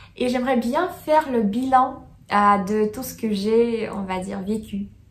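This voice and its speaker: With a Russian accent, a woman speaks at a very slow pace with ordinary pitch variation, and the room echo is audible. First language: Russian (speaking French). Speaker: student vlogger. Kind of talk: casual vlog chat. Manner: halting, many hesitations.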